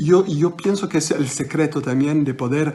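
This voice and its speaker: With a non-native accent, a man speaks using ordinary pitch variation. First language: French (speaking Spanish). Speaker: magician. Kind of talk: interview. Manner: halting.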